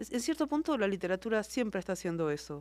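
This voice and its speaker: In a very clean recording with a silent background, a woman with an Argentine accent speaks at a medium pitch with very wide pitch swings. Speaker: novelist. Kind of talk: interview.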